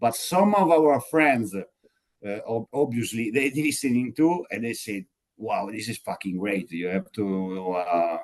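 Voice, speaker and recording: A man's medium-pitched voice, fairly slow yet with hardly any pauses, swinging very widely in pitch. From Italy (Sardinia). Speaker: metal band singer. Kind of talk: interview. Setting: video call. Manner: halting, many fillers.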